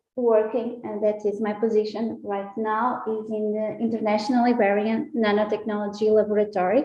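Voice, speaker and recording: A woman at a fairly high pitch, with audible room echo. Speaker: scientist. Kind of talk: public talk. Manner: halting, many fillers.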